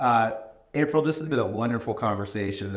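A man talks at a fairly quick pace in a medium pitch. His is a normal speaking voice. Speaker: podcast host. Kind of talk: casual interview conversation.

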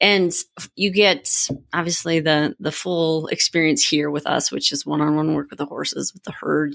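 Very deep and low for a woman, her voice carries an American accent, vocal fry and fairly even intonation on a very clean recording with a silent background. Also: dry, close sound with no echo. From Minnesota. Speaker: executive coach and retreat co-founder. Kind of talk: interview.

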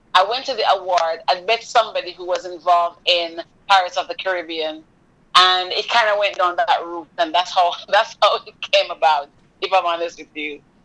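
Her pitch fairly low and her tone bright and sharp, a woman speaks at a moderate pace with fairly even intonation and big swings in loudness. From Jamaica. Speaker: mindset and resilience coach. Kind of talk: interview.

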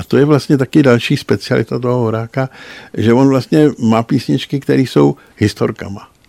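The tone is dark and mellow, with lively intonation at a moderate pace. The sound is dry and close with no echo. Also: man. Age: old. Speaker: music journalist. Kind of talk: casual chat. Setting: studio.

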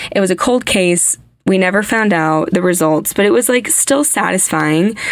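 With an American accent, a woman talks in an animated tone with lively intonation against noticeable background noise. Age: 20s. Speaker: podcast host. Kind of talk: casual storytelling.

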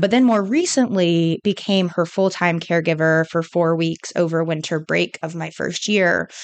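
A woman with a West Coast accent, hardly any pauses. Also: fairly low pitch for a woman, ordinary pitch variation, moderate pace, quiet background. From California. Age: 20s. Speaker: MBA student. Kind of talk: interview.

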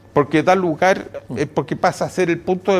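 A high-pitched man speaks with fairly even intonation. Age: 70s. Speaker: economist. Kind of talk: interview. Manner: halting with repeated words.

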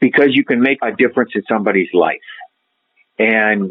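With an Upper Midwest US accent, a man speaks at a moderate pace and a medium pitch. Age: 60s. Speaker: retired credit union president. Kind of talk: interview.

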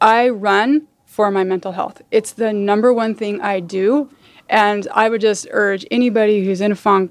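A woman with an American accent, a normal speaking voice, medium pitch and moderate pace. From Utah, suburbs of Salt Lake. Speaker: sports club president. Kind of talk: interview.

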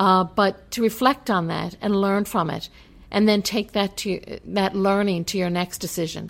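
A woman with an unremarkable speaking voice, medium pitch, moderate pace and fairly even intonation, in a very clean recording with a silent background. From Newfoundland, Canada. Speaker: college president. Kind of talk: interview. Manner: frequent filler words.

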